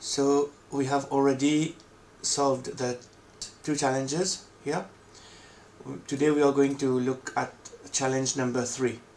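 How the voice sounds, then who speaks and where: A man with a non-native accent and a fairly high pitch speaks at a fairly slow pace in a monotone, flat intonation, with long, frequent pauses. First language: not English. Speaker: coding tutorial creator. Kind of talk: tutorial.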